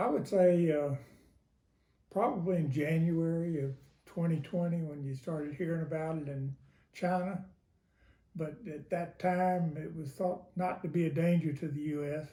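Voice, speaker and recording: A man with a high pitch and a dark, mellow tone speaks at a moderate pace with fairly even intonation. Long, frequent pauses break up his speech. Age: 80s+. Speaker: interviewee. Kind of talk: interview. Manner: hesitant, many fillers.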